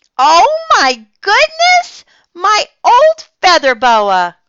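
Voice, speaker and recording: A woman uses a put-on character voice, squeaky and at an extremely high pitch. She speaks at a very slow pace. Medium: read story. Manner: warm, nice.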